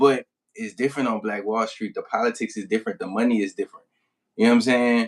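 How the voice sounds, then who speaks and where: A man speaks with a New Orleans accent. His pace is very fast. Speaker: rap artist. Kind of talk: casual interview.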